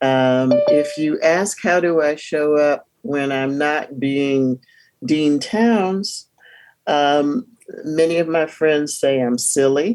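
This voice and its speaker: A woman with an American accent speaks very slowly in a very deep, low voice with ordinary pitch variation. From US South, Durham, North Carolina. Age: 60s. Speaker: divinity school dean and professor. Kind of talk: interview. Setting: video call.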